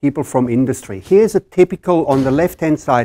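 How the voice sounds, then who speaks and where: A man speaks with a German accent in a fairly high voice and lively intonation. The sound is dry and close, with no echo. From Germany. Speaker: engineering professor. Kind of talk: conference presentation. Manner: halting.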